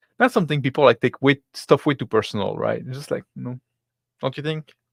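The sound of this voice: A man talks fairly quickly with vocal fry and ordinary pitch variation, the sound dry and close with no echo. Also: medium pitch for a man.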